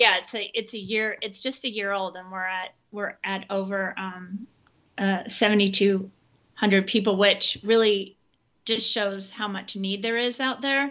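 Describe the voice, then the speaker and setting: Her pitch is medium for a woman, and she speaks at a fairly slow pace with fairly even intonation. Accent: American. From Oakland, California. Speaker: author and social worker. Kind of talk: interview.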